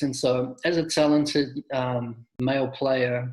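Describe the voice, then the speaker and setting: Speaking with a New Zealand accent, a man keeps his intonation fairly even. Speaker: soccer coach. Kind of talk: interview.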